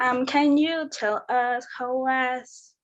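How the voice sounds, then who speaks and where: A woman speaks in a non-native accent. Her pace is very slow. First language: not English. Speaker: fan asking a question. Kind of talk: casual chat.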